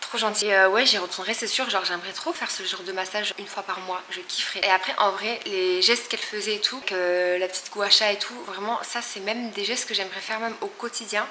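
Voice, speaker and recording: Against noticeable background noise and audible room echo, a woman talks at a very fast pace with hardly any pauses and fairly even intonation. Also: medium pitch for a woman. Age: 20s. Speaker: lifestyle vlogger. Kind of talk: casual vlog talk to camera.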